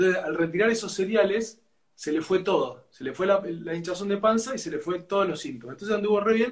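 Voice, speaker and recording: Lively intonation marks this Argentine accent. The speech moves at a very fast pace. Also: man. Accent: Argentine Spanish (rioplatense voseo). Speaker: physician and gastroenterologist, host. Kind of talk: live interview.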